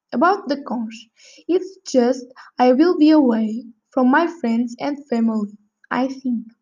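A woman's high-pitched voice at a fairly slow pace, with music in the background. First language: not English. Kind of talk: prepared speaking exercise. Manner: halting.

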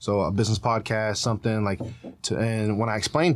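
The speaker is a man with an American accent. His pitch is fairly low. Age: 20s. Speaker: social media content creator. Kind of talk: casual chat. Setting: studio.

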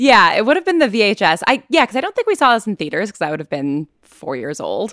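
A woman talks at a very fast pace in a fairly high voice with vocal fry, her tone animated and her pitch swinging very widely. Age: 20s. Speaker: podcaster and fiction writer. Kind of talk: casual chat.

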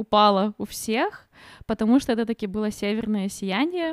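Dry and close with no echo, a woman with a plain, everyday voice speaks at a fairly high pitch and a fairly slow pace. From Ukraine. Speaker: podcast co-host. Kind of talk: casual chat.

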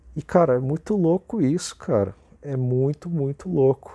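A man with a fairly high pitch, a dark, mellow tone and ordinary pitch variation speaks at a fairly slow pace in a very clean recording with a silent background and a dry, close sound with no echo. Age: 20s. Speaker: podcaster and YouTuber. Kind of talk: solo motivational monologue.

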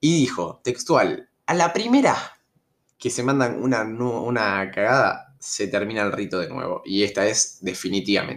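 In an Argentine accent, a man of medium pitch talks at a fairly slow pace with lively intonation. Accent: Rioplatense Argentine Spanish. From Argentina, Rosario (Santa Fe). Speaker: storytelling youtuber. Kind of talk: casual storytelling monologue. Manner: hesitant, many fillers.

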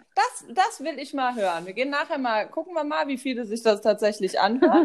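A woman at a high pitch with very wide pitch swings, a fairly quick pace, and noticeable background noise. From Germany, Westerwald. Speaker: podcast co-host. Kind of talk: casual chat.

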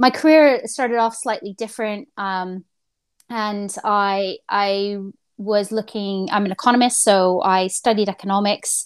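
In an ordinary speaking voice with a Canadian accent, a woman speaks at a fairly slow pace with ordinary pitch variation, in a very clean recording with a silent background. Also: medium pitch for a woman. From rural Canada. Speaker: head of a spaceport. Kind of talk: casual interview.

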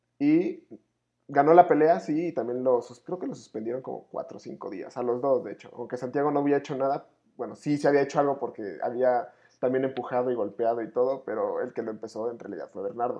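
In a normal speaking voice, a man with a medium pitch talks at a fairly quick pace, his loudness swinging widely while his pitch varies in an ordinary way. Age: 20s. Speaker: podcast co-host. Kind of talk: casual chat.

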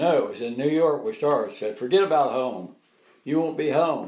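A man with an American accent, a plain, everyday voice, fairly high pitch, ordinary pitch variation and a moderate pace. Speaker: WWII veteran. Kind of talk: elder life story, recalling war memories in an interview.

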